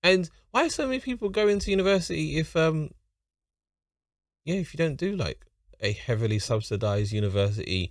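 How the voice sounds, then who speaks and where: With a London accent, a man talks at a moderate pace in a fairly high pitch with very wide pitch swings. The recording is very clean, with a silent background. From London, England. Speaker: YouTube reactor. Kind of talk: reaction commentary.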